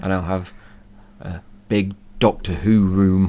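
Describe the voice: Slow and croaky, a man speaks with low pitch and fairly even intonation. His tone is dark and mellow.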